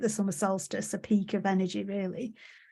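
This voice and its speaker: A woman with an English accent speaks somewhat breathily at a medium pitch and moderate pace on a very clean recording with a silent background. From England. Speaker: podcast host. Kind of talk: podcast interview.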